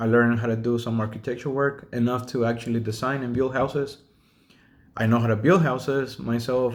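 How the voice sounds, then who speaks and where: A man's medium-pitched voice with a Spanish accent, at a moderate pace. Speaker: self-taught drafter and home builder. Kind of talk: casual video monologue. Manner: hesitant, with fillers.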